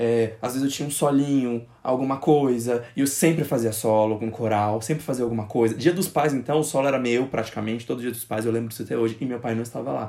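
With a dark, mellow tone, this man's voice sits at a medium pitch and moves through ordinary pitch variation. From Brazil, Goiás interior (born in Brasília). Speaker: podcast host. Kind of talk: casual chat.

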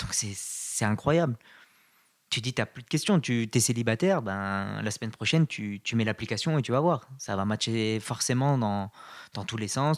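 A man talks in an ordinary speaking voice, medium in pitch, at a moderate pace and with ordinary pitch variation. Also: dry, close sound with no echo, very clean recording, silent background. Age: 20s. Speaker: podcast guest, dating app user. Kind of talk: casual chat.

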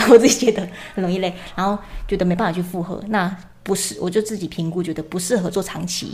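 Noticeable background noise sits behind a woman talking at a very fast pace. Her pitch is medium and her intonation fairly even. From Chiayi, southern Taiwan. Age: 20s. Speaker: illustrator and short-video creator. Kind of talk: casual chat. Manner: soft-spoken.

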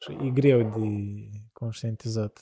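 A man speaks at a medium pitch in a dark, mellow, somewhat breathy tone, recorded dry and close with no echo. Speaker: podcast host. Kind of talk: casual chat.

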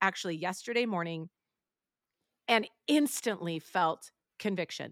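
Over a silent background in a very clean, dry, close recording with no echo, a woman speaks at a moderate pace and medium pitch, her tone bright and sharp and her intonation lively. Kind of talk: casual chat. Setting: studio.

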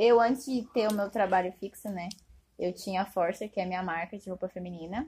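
At a medium pitch and a fairly quick pace, a woman speaks in a dark, mellow, somewhat breathy tone with ordinary pitch variation. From Brazil, Diadema (São Paulo region). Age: 20s. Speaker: fashion business graduate, clothing brand owner. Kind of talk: casual chat.

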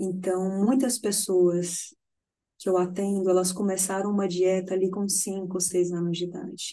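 A woman at medium pitch and a moderate pace, monotone and flat, with a dark, mellow tone. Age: 30s. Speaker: nutritionist. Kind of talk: casual interview chat.

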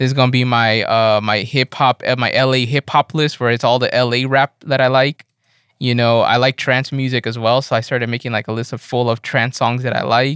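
With an American accent, a man talks at a fairly quick pace in an unremarkable speaking voice of medium pitch, the sound dry and close with no echo. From Los Angeles. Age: 30s. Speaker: music producer and audio engineer. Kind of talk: casual chat. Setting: remote call.

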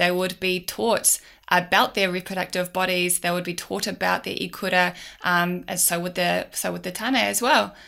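In a very clean recording with a silent background, a woman with an Auckland accent speaks at a moderate pace in a bright, sharp tone, her fairly low pitch held in fairly even intonation. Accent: New Zealand (Auckland). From New Zealand, South Auckland. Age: 30s. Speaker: business owner. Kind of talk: casual interview.

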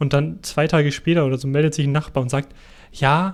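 A man talks at a moderate pace. He has a slight Bavarian accent. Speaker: podcast co-host. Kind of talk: casual chat.

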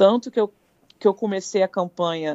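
At a moderate pace, a woman speaks in an ordinary speaking voice, her intonation fairly even. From Brazil, Petrópolis, Rio de Janeiro state. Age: 30s. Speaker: paramedic. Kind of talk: live interview.

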